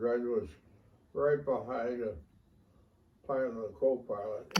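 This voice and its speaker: Speaking at a very slow pace, a man with a medium pitch sounds somewhat breathy and uses ordinary pitch variation. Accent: American. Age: 80s+. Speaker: war veteran. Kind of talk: interview answer.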